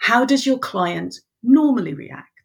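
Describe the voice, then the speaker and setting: This woman speaks with an English accent. Her intonation is lively. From Ireland. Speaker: business coach. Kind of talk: casual interview chat.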